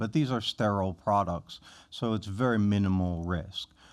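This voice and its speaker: Heard in a very clean recording with a silent background, a man with a fairly low pitch and ordinary pitch variation has an unremarkable speaking voice. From Philadelphia. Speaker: physician. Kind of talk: podcast interview.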